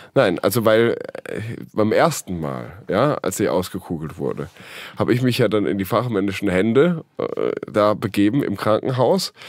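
Speaking at a moderate pace, a man uses a fairly low pitch with very wide pitch swings and vocal fry. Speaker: podcast co-host. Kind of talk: casual chat. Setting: studio.

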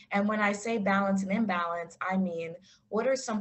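Her pitch rises and falls in a normal way. The woman talks at a fairly brisk pace. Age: 20s. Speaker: clinical social worker and yoga instructor. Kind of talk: online talk with Q&A. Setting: video call. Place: home room. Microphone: video call.

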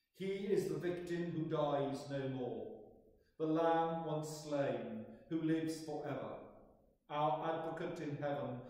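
A man speaks at a very slow pace with fairly even intonation, in a room with strong echo. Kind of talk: liturgical prayer. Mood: solemn, measured. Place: church. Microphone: camera far.

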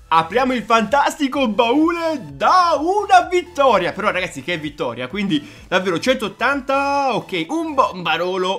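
Faint music plays behind a man speaking at a fairly slow pace with very wide pitch swings. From Foggia, Apulia, Italy. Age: 20s. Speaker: gaming YouTuber. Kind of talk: gameplay commentary. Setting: home studio microphone. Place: home room.

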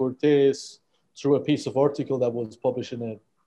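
There's a dark, mellow tone to this man's voice, and the background is quiet. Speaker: guest. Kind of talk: interview answer. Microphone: earbuds.

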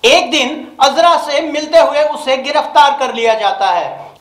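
In a room with strong echo, a man with an extremely high pitch speaks at a fairly slow pace, his tone fairly bright and his intonation lively.

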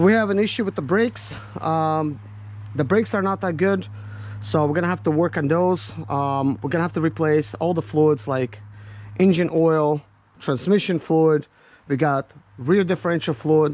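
Speaking at a moderate pace with lively intonation, a man leaves long, frequent pauses in a dry sound with no echo. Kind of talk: tutorial. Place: open country. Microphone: phone near.

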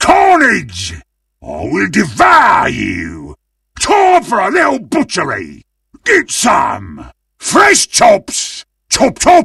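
Using a put-on character voice, a man shouts in a raised voice at a very slow pace, high-pitched with vocal fry and very wide pitch swings. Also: bright, sharp tone, slightly husky edge.

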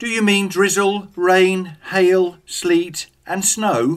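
A man with a British accent speaks at a very slow pace, high in pitch and with fairly even intonation. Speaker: English teacher. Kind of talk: scripted dialogue for English learners.

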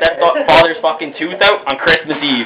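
Loud background noise sits under this man's voice. He speaks at a fairly quick pace. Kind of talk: casual selfie video chat. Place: home room. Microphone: phone near.

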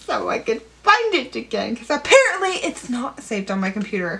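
A woman speaks in a raised, projected voice. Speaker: writer. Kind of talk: casual talk to camera.

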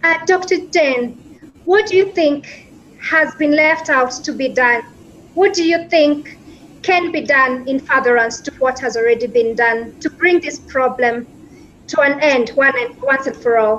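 Light background noise sits under a woman speaking at a high pitch and a fairly slow pace, with ordinary pitch variation. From Kenya. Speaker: law student asking a question. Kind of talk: prepared question. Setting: remote video call. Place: home room.

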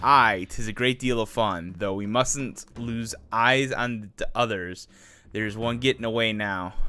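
A gruff, put-on character voice from a man, medium in pitch, at a fairly slow pace. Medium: machinima. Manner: gruff, taunting.

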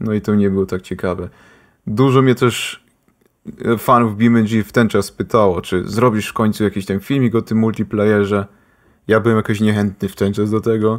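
A man at a fairly low pitch, monotone and flat, at a moderate pace. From Austria, Polish-speaking family. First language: bilingual Polish and German, sometimes forgets Polish words (speaking Polish). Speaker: gaming YouTuber. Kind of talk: casual chat.

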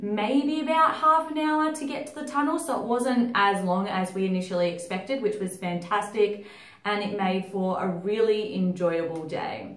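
A woman talks at a moderate pace with hardly any pauses. Room echo is audible around her voice. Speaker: travel vlogger. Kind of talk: casual vlog chat. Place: home room.

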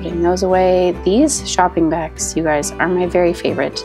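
A woman speaks with music in the background. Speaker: homeschooling mother. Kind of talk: casual vlog voiceover.

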